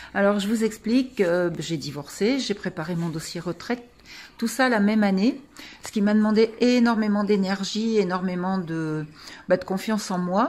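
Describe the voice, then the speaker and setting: Here a woman keeps to a moderate pace. The pitch varies in an ordinary way. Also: medium pitch for a woman. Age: 60s. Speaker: client giving testimonial. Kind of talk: testimony. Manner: hesitant, many fillers.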